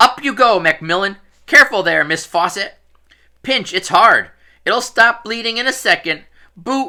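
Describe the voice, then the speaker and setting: Using a put-on character voice, a man speaks at a high pitch and a moderate pace with long, frequent pauses, on a very clean recording with a silent background. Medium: read story. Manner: cheery, fussy.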